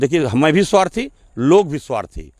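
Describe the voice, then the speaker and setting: This man has vocal fry and speaks at a moderate pace. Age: 60s. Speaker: local politician. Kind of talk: interview. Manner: assertive.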